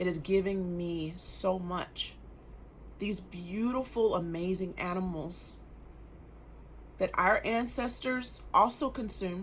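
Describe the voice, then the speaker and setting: Very slowly and with long, frequent pauses, a woman talks in a room with audible echo. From grew up in Germany. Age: 40s. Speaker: wellness vlogger. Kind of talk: personal testimony monologue. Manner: animated.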